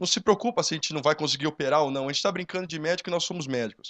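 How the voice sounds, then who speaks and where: A man's fairly high voice has a bright, sharp tone and ordinary pitch variation. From São Carlos, interior of São Paulo state, Brazil. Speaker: young entrepreneur. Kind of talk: panel talk. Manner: hesitant, many fillers.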